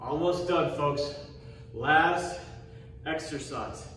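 Over light background noise and audible room echo, a man talks at a very slow pace with fairly even intonation. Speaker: fitness instructor. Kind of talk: workout instruction. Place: gym. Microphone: camera far.

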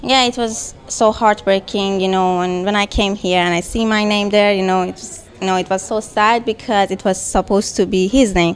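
A woman with a Persian accent at a moderate pace with hardly any pauses, her intonation fairly even, music in the background. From Iran. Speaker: gallery owner and artist. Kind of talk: interview. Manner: halting. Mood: sad, emotional. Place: hall. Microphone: handheld.

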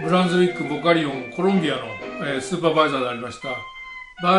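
Clear music can be heard behind a man as he talks. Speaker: presenter. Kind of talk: lecture. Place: home room. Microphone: camera far.

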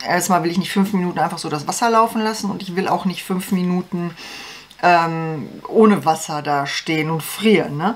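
This woman has a fairly low pitch, ordinary pitch variation and a moderate pace.

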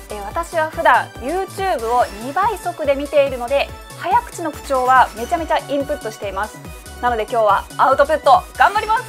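Clear music plays behind a woman speaking at a fairly quick pace. Her high voice swings very widely in pitch. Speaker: news caster. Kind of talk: casual talk to camera. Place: studio.

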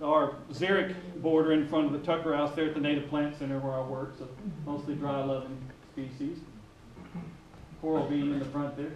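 A man talks at a moderate pace in a monotone, flat intonation. Audible room echo and light background noise surround him. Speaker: presenter. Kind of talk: lecture. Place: hall. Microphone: camera far.

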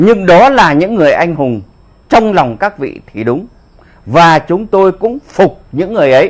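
A man at a fairly slow pace, his pitch swinging very widely, against a quiet background. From northern Vietnam. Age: 70s. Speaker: war veteran; political commentator. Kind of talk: political commentary monologue. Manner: animated. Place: home room. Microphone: lapel.

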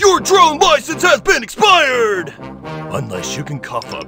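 Over clear background music, a man uses a put-on character voice that is raised and projected, pitched extremely high for a man, at a moderate pace. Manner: officious, falsely cheerful.

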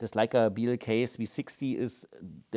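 A man with a German accent and a dark, mellow tone against a quiet background. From Germany. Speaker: laser scanner company presenter. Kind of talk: product review video. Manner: halting, frequent fillers. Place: office.

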